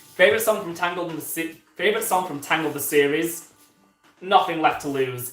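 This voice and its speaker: Big swings in loudness and ordinary pitch variation, with music in the background. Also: man. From Yorkshire, northern England. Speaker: YouTuber, Disney animation commentator. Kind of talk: live stream Q&A. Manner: hesitant, many fillers; casual, chatty.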